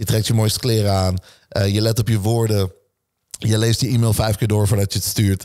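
Against a quiet background, a man with a fairly low pitch and a dark, mellow tone talks at a fairly quick pace, his intonation monotone and flat and his loudness very even. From Netherlands, Nieuwegein/Utrecht area; Netherlands. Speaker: entrepreneur and speaker; speaker. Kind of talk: casual interview chat. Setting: gym. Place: home room. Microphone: studio mic.

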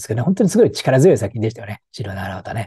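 A man with a dark, mellow, somewhat breathy voice, very wide pitch swings and a very fast pace, in a dry sound with no echo and a quiet background. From Japan, Tokyo. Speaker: film commentator and professor; film commentator. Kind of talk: solo video commentary. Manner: casual with many fillers and hesitations. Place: home room. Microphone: lapel.

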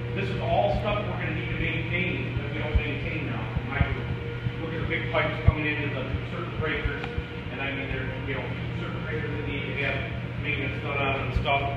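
At a fairly quick pace, the voice comes through audible room echo and loud background noise. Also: man. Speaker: tour guide at the facility. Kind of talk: guided tour explanation. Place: factory. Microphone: camera far.

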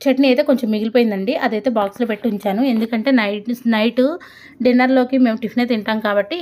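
A woman with a fairly high pitch talks using ordinary pitch variation. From Andhra Pradesh. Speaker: homemaker vlogger. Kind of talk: vlog voice-over.

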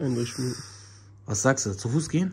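The speaker moves at a fairly quick pace in an animated tone. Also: man. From Germany, North Rhine-Westphalia (Langenfeld). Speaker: YouTuber vlogger. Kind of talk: casual vlog.

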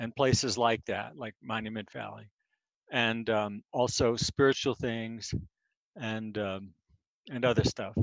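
Against a quiet background, a man talks at a moderate pace with fairly even intonation and a dry sound with no echo. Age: 60s. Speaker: poet. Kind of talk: poetry reading and chat. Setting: video call. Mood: relaxed, reflective. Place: home room. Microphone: headset.

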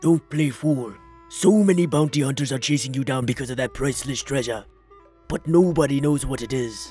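Over faint background music, someone performs a put-on character voice at a fairly quick pace. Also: man, medium pitch for a man. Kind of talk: comic dub.

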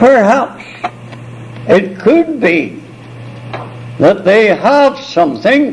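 Very slowly, a man speaks with very wide pitch swings against noticeable background noise. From Ireland. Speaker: missionary. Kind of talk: oral history storytelling. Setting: multi-purpose room of a retirement home. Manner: confident; animated. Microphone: cheap cassette recorder, tape crackle.

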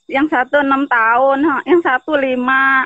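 The woman's voice sits at a high pitch and moves at a fairly slow pace. The sound is dry with no echo, and the background is quiet. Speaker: shop worker seeking aid; guest. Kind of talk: call-in appeal. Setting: video call. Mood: grateful, emotional. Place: garden. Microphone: video call.

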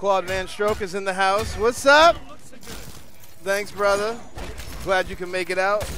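The voice is raised and projected, moving at a fairly slow pace. Long, frequent pauses break it up over noticeable background noise. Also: man, high pitch for a man, ordinary pitch variation. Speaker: fighting game tournament organizer and commentator. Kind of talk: casual live stream commentary. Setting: warehouse venue at live gaming event.

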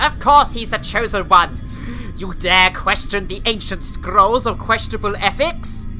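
A woman puts on a pompous character voice at a medium pitch. Background noise is clearly audible behind her. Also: moderate pace. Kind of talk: comic overacting. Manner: pompous, bossy, indignant.

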